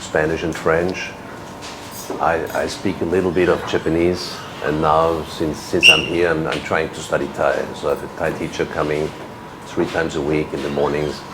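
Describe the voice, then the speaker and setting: A man talks at a moderate pace in a very deep, low voice with monotone, flat intonation. Audible room echo and noticeable background noise fill the recording. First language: German. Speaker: ambassador. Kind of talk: interview. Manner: halting, many repeats and fillers.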